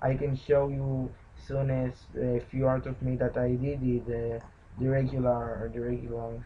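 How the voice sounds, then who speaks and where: A man with a non-native accent speaks at a fairly slow pace. His intonation stays monotone and flat. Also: medium pitch for a man. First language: not English. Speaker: pixel art video maker. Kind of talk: tutorial narration while drawing. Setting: at home. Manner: halting. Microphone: laptop mic.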